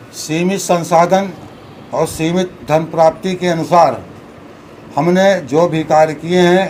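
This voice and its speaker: Here a man talks with a high pitch and a monotone, flat intonation. There is noticeable background noise and audible room echo. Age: 70s. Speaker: local politician. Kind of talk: press conference. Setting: at a residence, press conference.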